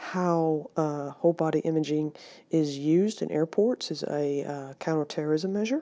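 With an American accent, a woman speaks at a moderate pace in a dark, mellow tone of very deep, low pitch, over a quiet background. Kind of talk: lecture. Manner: hesitant with frequent fillers.

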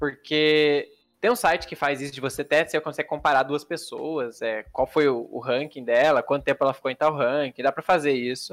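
In a plain, everyday voice, the speaker moves at a moderate pace with hardly any pauses, ordinary pitch variation, and a dry, close sound free of echo. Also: man, fairly high pitch for a man. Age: 20s. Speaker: pro card game player and streamer. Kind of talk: casual interview.

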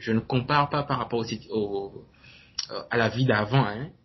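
Somewhat breathy, the man's voice holds a medium pitch. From Benin. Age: 20s. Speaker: entrepreneur and blogger. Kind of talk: interview. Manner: halting.

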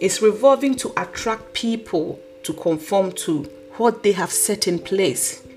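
Noticeable background noise runs beneath a woman's fairly slow speech. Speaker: podcast host. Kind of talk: solo podcast talk, motivational.

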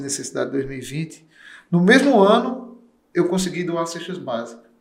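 A man with a Paraíba accent, high-pitched, with lively intonation at a moderate pace. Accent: northeastern Brazilian (Paraíba). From Paraíba, Brazil (interior). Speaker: streamer. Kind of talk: casual interview.

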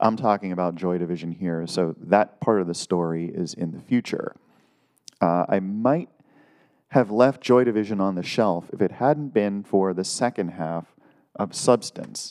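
This man has an American accent and an ordinary speaking voice with a fairly low pitch. He talks at a moderate pace with ordinary pitch variation. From US Northeast, Lake Erie area. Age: middle-aged. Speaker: music podcaster. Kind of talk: casual monologue. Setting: solo video recording at home.

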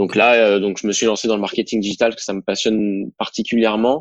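A man speaks with monotone, flat intonation. His voice sits fairly low. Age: 20s. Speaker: young entrepreneur, digital marketing. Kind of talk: casual interview, testimony.

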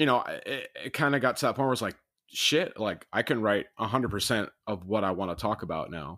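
The voice has an American accent and a bright, sharp tone, moving at a fairly quick pace with lively intonation. The recording is very clean with a silent background. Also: man, medium pitch for a man. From Rockford, Illinois, US Midwest. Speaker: former band member, musician.

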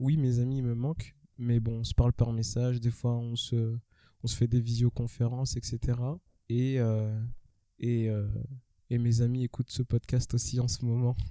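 A man's medium-pitched, dark, mellow tone with monotone, flat intonation, at a fairly slow pace with long, frequent pauses. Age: 20s. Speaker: podcast host. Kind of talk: casual chat.

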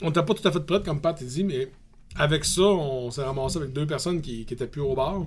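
This somewhat breathy voice, in a Quebec accent, shows ordinary pitch variation. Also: man. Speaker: brewery co-owner and metal musician. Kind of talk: casual chat.

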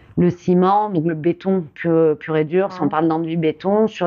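The woman's pitch is fairly low, and she keeps a moderate pace. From southwestern France, Gironde. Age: 30s. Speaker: stonemason. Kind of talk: interview. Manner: hesitant.

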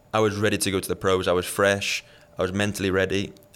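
In a Liverpool accent, a man speaks at a fairly low pitch. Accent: Liverpool English (Scouse). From England, Liverpool. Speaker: professional tennis player. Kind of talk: casual interview.

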